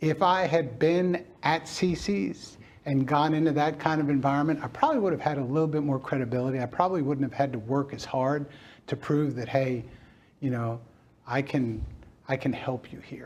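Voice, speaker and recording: This man talks at a moderate pace in an American accent. His pitch is fairly high, with ordinary variation. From Brooklyn, New York. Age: 60s. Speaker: restaurant chain founder. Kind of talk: interview. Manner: reflective, with frequent hesitations.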